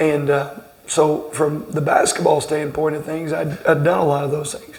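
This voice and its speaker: A man with a Southern US accent speaks at a moderate pace in a fairly high pitch and a monotone, flat intonation. Noticeable background noise and audible room echo fill the recording. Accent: Southern twang. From southern Indiana, Greene County. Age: 40s. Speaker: basketball coach. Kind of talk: interview. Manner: halting, many repeated words.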